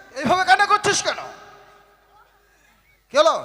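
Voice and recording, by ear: Putting on a character voice, a man speaks at an extremely high pitch with a bright, sharp tone, lively intonation and a moderate pace.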